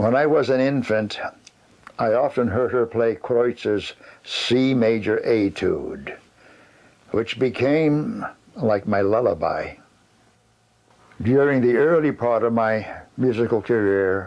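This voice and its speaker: A man with an American accent speaks at a medium pitch and a very slow pace, leaving long, frequent pauses. His loudness stays very even, with ordinary pitch variation. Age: 90s. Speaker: accordionist. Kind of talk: interview. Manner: halting.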